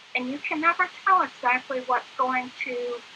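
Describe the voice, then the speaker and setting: Over noticeable background noise, a woman with a high pitch uses a raised, projected voice at a fairly slow pace. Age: 60s. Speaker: guest speaking about living with PTSD. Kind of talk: interview. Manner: halting, many fillers.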